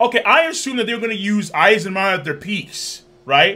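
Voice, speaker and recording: A man speaks in a raised, projected voice at a moderate pace. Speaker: reaction streamer. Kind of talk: casual reaction commentary. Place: home room.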